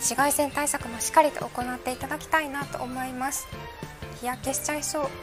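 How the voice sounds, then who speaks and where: Clear music plays in the background while the speaker keeps a monotone, flat intonation. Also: woman, high pitch for a woman. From Hakata, Fukuoka. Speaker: weather presenter. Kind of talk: live weather broadcast commentary. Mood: light, amused, chatty. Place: studio.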